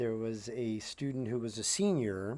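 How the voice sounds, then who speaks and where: A man talks here. The recording is very clean, with a silent background. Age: 50s. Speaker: teacher. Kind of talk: lecture. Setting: outdoors. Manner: halting.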